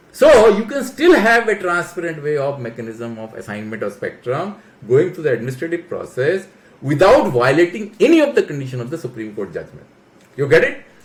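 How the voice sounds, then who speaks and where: A man talks at a fairly quick pace in a high pitch, with very wide pitch swings and big swings in loudness. Noticeable background noise runs underneath. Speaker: telecom policy expert. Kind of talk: explainer talk. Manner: animated.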